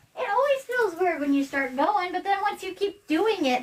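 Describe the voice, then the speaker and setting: A woman's voice swings very widely in pitch. Noticeable background noise runs underneath. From US Pacific Northwest. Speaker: house cleanup vlogger. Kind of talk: casual chat.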